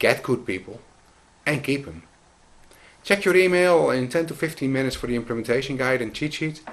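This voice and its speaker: A man with a Dutch accent and medium pitch talks at a fairly quick pace with lively intonation and long, frequent pauses. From Netherlands. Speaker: business consultant. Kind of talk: scripted narration.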